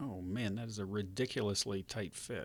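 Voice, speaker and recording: A man with a fairly low pitch talks at a moderate pace with ordinary pitch variation in a very clean recording with a silent background. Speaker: retro computer repair hobbyist and YouTuber. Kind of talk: casual talk to camera while working at a bench.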